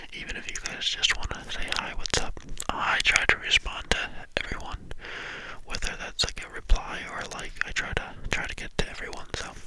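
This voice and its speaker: A soft-spoken man whispers at a moderate pace. The sound is dry with no echo, against loud background noise. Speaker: ASMR channel creator. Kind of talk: soft casual chat to viewers. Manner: soft cupped-hand whisper into mic. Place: home room. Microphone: studio mic.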